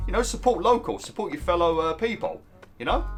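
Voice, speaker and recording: Fairly quick speech from a man, with music in the background. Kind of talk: casual video game commentary. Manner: casual, chatty, swears.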